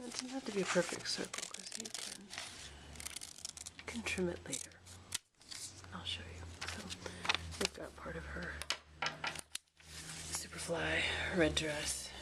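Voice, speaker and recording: Soft-spoken and fairly slow, the speech has long, frequent pauses and big swings in loudness over noticeable background noise. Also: woman. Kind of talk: craft tutorial to camera. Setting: home recording with some sound glitches.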